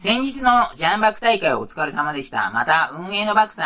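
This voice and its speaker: Noticeable background noise under a man's speech full of very wide pitch swings. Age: 40s. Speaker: podcast host. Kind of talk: casual solo podcast talk. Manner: casual, rambling, filler-heavy.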